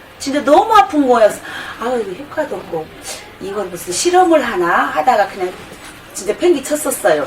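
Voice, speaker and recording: A woman speaks at a fairly quick pace in a high voice with very wide pitch swings, over noticeable background noise. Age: 50s. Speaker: product testimonial customer. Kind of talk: testimony. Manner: casual, rambling with fillers.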